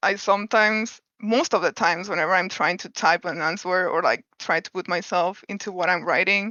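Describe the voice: Speaking at a moderate pace, a woman has a fairly low pitch, a bright, sharp tone and ordinary pitch variation. The recording sounds dry and close, with no echo.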